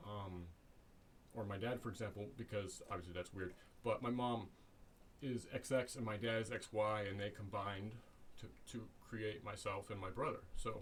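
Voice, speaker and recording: A man's somewhat breathy, fairly low-pitched voice at a moderate pace, with long, frequent pauses. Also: fairly even intonation. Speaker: YouTuber discussing social issues. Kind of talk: solo vlog monologue. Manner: halting, many fillers and restarts.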